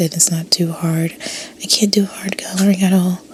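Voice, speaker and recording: Noticeable background noise can be heard. A woman's intonation stays fairly even throughout. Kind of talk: ASMR whisper narration while speed drawing; casual talk to camera. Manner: whispered, soft, relaxing.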